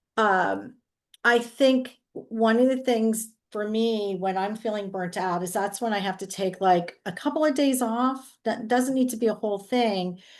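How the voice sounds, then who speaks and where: An ordinary speaking voice comes from a woman with a fairly high pitch and ordinary pitch variation. She talks at a fairly slow pace against a quiet background. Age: 60s. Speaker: real estate agent. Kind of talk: group discussion.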